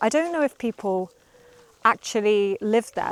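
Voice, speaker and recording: A woman with a British accent speaks at a fairly high pitch with lively intonation. The sound is dry and close with no echo, though there is noticeable background noise. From UK. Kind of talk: casual vlog talk to camera. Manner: slow, clear.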